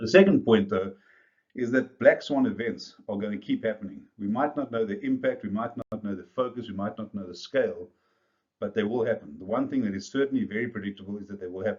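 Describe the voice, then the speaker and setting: At a very fast pace, a man speaks with a South African accent. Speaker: business coach. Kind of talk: video presentation to business leaders.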